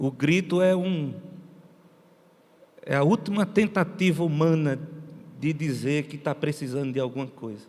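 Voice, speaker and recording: With long, frequent pauses, a man talks at a fairly slow pace in a fairly high pitch with ordinary pitch variation. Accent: northeastern Brazilian. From Brazilian Northeast. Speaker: missionary pastor. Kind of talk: sermon.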